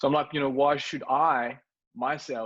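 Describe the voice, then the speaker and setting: Against a quiet background, a man with a slight French accent talks at a medium pitch. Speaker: startup co-founder. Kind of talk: interview. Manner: halting, many fillers and repeats.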